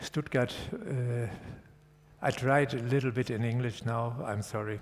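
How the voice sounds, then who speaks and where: Somewhat breathy, a man speaks with a German accent and fairly even intonation. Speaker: architect and professor. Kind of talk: lecture. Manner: halting.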